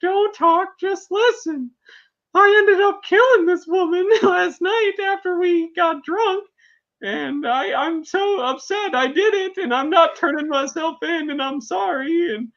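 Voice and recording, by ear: An extremely high-pitched, whiny put-on character voice with a whiny tone, at a fairly slow pace over a quiet background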